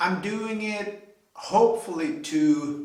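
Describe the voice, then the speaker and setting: A man speaks with a non-native accent and ordinary pitch variation. The room echo is audible. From Sweden. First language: Swedish. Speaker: hobby car and trailer builder. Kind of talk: video tutorial intro. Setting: home garage. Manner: hesitant, many fillers.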